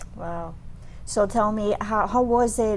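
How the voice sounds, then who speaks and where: This woman talks with a Spanish accent. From Dominican Republic. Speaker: radio host. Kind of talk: interview.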